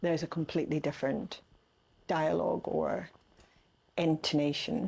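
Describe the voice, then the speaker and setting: A woman speaks at a moderate pace with a Northern Irish accent. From Northern Ireland, Castlederg, County Tyrone. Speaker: artist. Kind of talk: casual chat. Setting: artist's studio.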